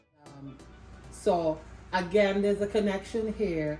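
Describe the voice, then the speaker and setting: This woman takes her words fairly slowly. Background noise can be noticeably heard. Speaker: interviewer. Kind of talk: casual family interview.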